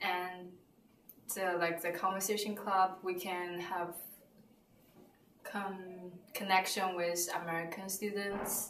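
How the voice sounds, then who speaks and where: In a Chinese accent, a woman speaks very slowly in a flat monotone with long, frequent pauses, with audible room echo and light background noise. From China; southern China. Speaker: student. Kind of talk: interview answer. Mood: relaxed, positive. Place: office.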